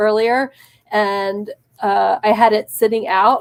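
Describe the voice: A woman speaks at a medium pitch and a slow pace. Her tone is clear and smooth, with little pitch movement.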